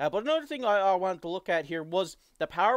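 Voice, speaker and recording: In a very clean recording with a silent background and a dry, close sound with no echo, a man talks fairly quickly with a strong Newfoundland accent. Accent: thick Newfoundland. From Newfoundland, Canada. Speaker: hockey YouTuber. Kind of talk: casual commentary monologue. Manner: hesitant, many fillers.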